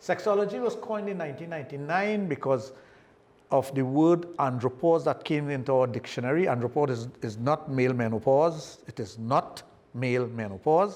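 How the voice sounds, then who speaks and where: Moderately paced speech with lively intonation, in a Trinidadian accent. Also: man, fairly high pitch for a man. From Trinidad and Tobago. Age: 60s. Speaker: sexologist. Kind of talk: podcast interview.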